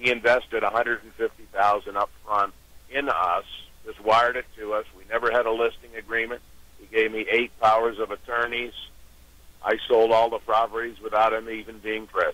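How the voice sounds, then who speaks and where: A man's monotone, flat speech with an American accent, medium in pitch, at a moderate pace, with a dry sound and no echo. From New York and Pittsburgh. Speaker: auction company founder. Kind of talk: phone-in interview. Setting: phone call. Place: studio.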